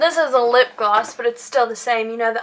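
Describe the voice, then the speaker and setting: A woman talks in a high voice with noticeable background noise behind her. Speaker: beauty vlogger. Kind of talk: product haul review. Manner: animated.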